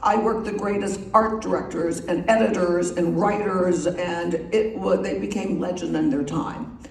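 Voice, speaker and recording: Lively intonation from a woman with an American accent, plus audible room echo and noticeable background noise. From US Northeast. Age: 70s. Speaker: magazine publisher. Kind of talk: after-dinner talk. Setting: club meeting with audience. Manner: casual, chatty.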